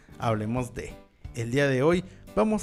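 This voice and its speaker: Over music in the background, a man speaks at a moderate pace and medium pitch. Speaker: podcast host. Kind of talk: horror story podcast narration. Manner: dramatic, with dark humor.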